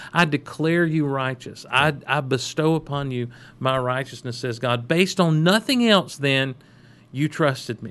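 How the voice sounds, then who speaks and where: A man speaks in a normal speaking voice at a moderate pace, his pitch fairly high with ordinary variation. The background is quiet. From US South. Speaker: pastor, podcast co-host. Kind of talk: casual chat about faith.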